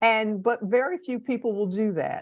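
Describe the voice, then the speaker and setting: A woman's medium-pitched voice with vocal fry and an American accent, over a quiet background. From US Northeast, Camden, New Jersey. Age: 70s. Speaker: guest speaker. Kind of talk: personal talk to a class. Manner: halting, with fillers.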